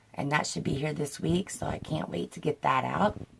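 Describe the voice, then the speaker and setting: A woman's voice over noticeable background noise. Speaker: beauty vlogger. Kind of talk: unboxing video outro. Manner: casual, with frequent um.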